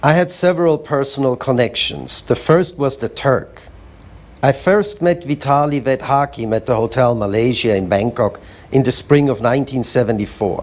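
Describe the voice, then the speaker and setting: With a plain, everyday voice, a man speaks at a moderate pace with medium pitch and lively intonation. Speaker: museum founder and curator. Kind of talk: spoken word reading of letters. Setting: live event.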